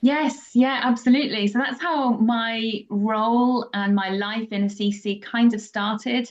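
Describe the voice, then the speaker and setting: With a British accent, a woman speaks at a fairly slow pace with hardly any pauses. Her pitch is fairly high and her intonation fairly even. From England. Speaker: pilgrimage guide. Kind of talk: interview conversation. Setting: podcast.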